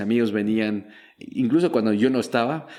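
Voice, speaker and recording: Medium-pitched male speech with a French accent, at a moderate pace. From Belgium. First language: French (speaking Spanish). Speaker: startup founder and investor. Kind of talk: interview.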